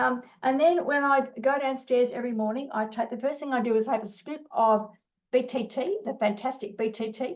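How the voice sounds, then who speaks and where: This woman has an Australian accent and a high pitch. She speaks at a moderate pace with ordinary pitch variation. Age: 60s. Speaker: business owner. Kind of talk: interview. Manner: animated; halting.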